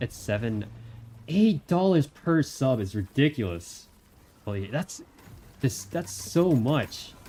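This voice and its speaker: Speaking at a medium pitch, a man sounds somewhat breathy, with very wide pitch swings. He goes at a very slow pace with long, frequent pauses. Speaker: streamer. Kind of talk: casual chat. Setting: live stream. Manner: halting.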